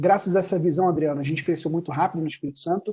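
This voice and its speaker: A man with a Rio de Janeiro accent has a fairly high pitch, a dark, mellow tone and fairly even intonation. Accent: carioca accent, hissing s. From Brazil, Rio de Janeiro. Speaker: accounting firm owner. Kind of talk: webinar talk.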